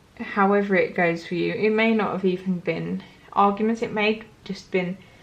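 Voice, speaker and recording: Noticeable background noise surrounds a woman at medium pitch. Her moderate-paced speech is monotone, with flat intonation. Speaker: tarot reader. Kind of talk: tarot reading to camera. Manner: casual, filler-heavy.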